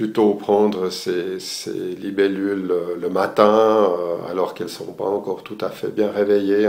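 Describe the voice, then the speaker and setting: A man's fairly low voice at a very slow pace. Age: 60s. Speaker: retired architect, amateur photographer giving course review. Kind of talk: video testimonial. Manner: halting, many hesitations.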